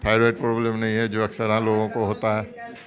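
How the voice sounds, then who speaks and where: Over noticeable background noise, a man talks at a medium pitch in a monotone, flat delivery. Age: 70s. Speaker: retired government doctor. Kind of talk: interview.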